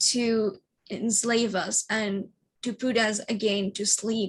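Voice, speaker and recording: Monotone, flat intonation runs through this somewhat breathy voice. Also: woman. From Madrid, Spain. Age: 20s. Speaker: psychic medium, alien contact experiencer. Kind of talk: interview answer.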